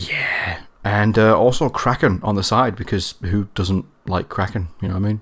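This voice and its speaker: Speaking at a moderate pace with a northern English accent, a man keeps a fairly low pitch and fairly even intonation. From northern England. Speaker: guest. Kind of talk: casual chat.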